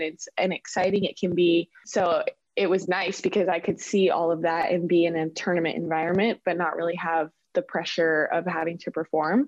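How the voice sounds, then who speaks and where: With a plain, everyday voice and an American accent, a woman speaks at a moderate pace in a fairly low pitch and fairly even intonation. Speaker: professional soccer player. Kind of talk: interview.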